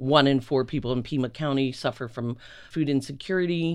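A man with a normal speaking voice talks at a fairly high pitch. His intonation stays fairly even. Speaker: nonprofit founder and director. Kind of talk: interview.

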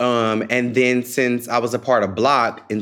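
A man with an American accent speaks at a very slow pace. The recording is very clean, with a silent background. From US South, Memphis, Tennessee. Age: 20s. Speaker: public health advocate, former youth scholar. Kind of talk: podcast interview.

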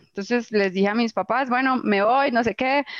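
A woman speaks at a moderate pace with ordinary pitch variation, the sound dry and close with no echo. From Colombia, Antioquia (Itagüí). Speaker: agritech founder, zootechnician. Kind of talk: personal storytelling interview. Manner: candid, unfiltered.

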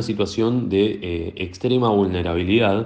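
Using an ordinary speaking voice, a man talks with pitch that varies in an ordinary way. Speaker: newspaper journalist. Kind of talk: interview. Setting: phone call.

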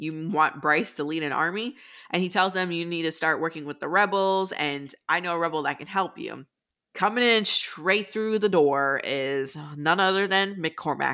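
A woman with a fairly low pitch, a bright, sharp, animated tone and ordinary pitch variation, on a very clean recording with a silent background. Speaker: book podcast co-host. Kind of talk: casual chat. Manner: fast talker.

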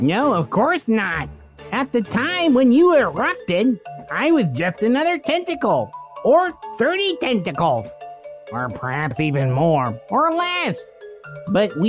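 A man's high voice at a fairly slow pace, with clear music in the background. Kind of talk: comic improv. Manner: warm, effusive, grateful.

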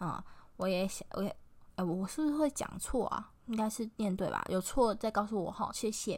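Medium pitch and ordinary pitch variation in a woman's voice. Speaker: podcast host. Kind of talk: casual solo podcast talk. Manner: halting, many fillers.

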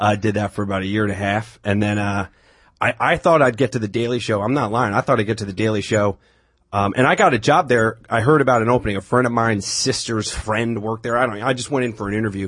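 Very fast and in an American accent, a man speaks at medium pitch. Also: ordinary pitch variation. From Long Island, New York. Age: 30s. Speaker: comedian. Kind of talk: casual chat.

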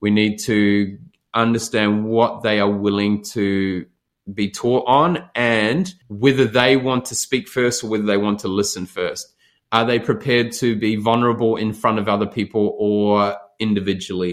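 A man with a New Zealand accent speaks with fairly even intonation. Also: fairly low pitch for a man, moderate pace. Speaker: leadership expert and speaker. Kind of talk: podcast interview.

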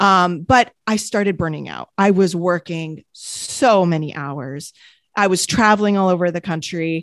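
With an American accent and an ordinary speaking voice, a woman of fairly low pitch talks at a fairly slow pace with ordinary pitch variation, in a dry, close sound with no echo over a quiet background. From France / US, French-American. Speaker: entrepreneur and wellness podcaster. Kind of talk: casual interview chat.

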